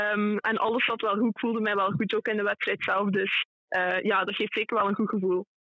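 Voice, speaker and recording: A woman's fairly high voice, monotone and flat, at a moderate pace. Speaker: junior athlete. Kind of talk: interview. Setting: phone call.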